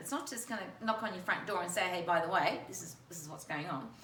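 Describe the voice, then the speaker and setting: There is noticeable background noise and audible room echo as a woman with an Australian accent talks in an animated tone. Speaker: talk show host. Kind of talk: interview.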